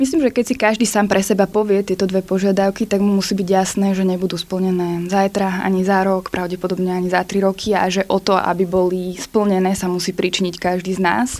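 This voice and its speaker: A woman speaks fairly quickly with monotone, flat intonation and hardly any pauses. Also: medium pitch for a woman, very even loudness. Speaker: protest organizer. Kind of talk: interview. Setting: studio.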